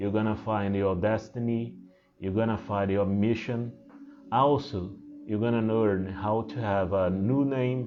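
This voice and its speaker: A man with a strong Portuguese accent at a fairly slow pace, fairly low in pitch with ordinary pitch variation, amid audible room echo and music in the background. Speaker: spiritual teacher. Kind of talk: talk to camera. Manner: halting, many fillers.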